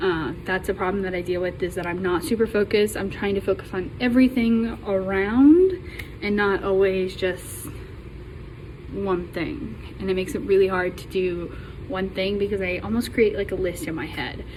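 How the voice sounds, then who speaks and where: With noticeable background noise behind her, a woman talks at a moderate pace, her medium pitch showing ordinary pitch variation. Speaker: college student. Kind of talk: class self-introduction. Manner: halting, many ums.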